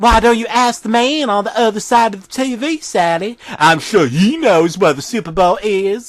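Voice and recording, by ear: The voice reads aloud naturally. Its intonation is lively.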